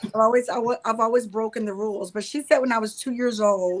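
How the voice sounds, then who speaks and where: Speaking with a Southern US accent, a woman keeps her intonation fairly even. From North Carolina. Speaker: counselor and spiritual mentor. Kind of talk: interview.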